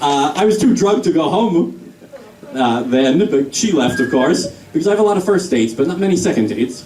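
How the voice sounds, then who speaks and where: A man with an American accent talks at a fairly quick pace and a fairly high pitch, making very wide pitch swings at very even loudness. Noticeable background noise and audible room echo fill the recording. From New York. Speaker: stand-up comedian. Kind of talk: stand-up. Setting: stage with audience.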